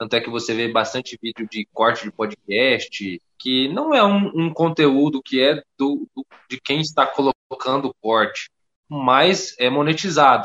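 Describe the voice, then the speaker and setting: Using a normal speaking voice, a man talks at a fairly high pitch with lively intonation. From Rondônia, northern Brazil. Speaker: content creator, F1 YouTube channel owner. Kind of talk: casual podcast interview chat.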